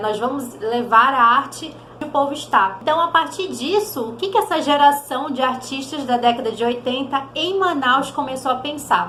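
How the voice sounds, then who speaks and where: Lively intonation comes through amid noticeable background noise and audible room echo. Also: woman. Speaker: theatre educator, channel host. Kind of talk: educational vlog.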